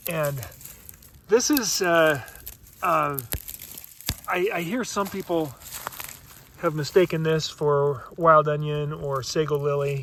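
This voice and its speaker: Amid noticeable background noise, a man with a fairly high pitch speaks at a very slow pace with long, frequent pauses. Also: ordinary pitch variation. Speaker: foraging guide. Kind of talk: outdoor nature tutorial. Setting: outdoors.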